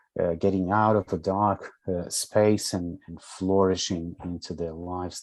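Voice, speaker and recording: A man speaks with a Portuguese accent in a calm, dark, mellow tone. The background is quiet. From Brazil, São Paulo. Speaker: social work educator and counsellor. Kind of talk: interview.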